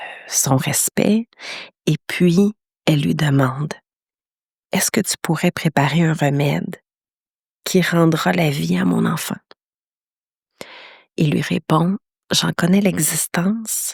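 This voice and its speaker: Speaking very slowly with long, frequent pauses, a woman uses a very deep, low pitch with vocal fry, ordinary pitch variation, and big swings in loudness, captured in a dry, close sound with no echo. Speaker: podcast host, meditation teacher. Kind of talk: podcast storytelling. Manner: hesitant, many fillers.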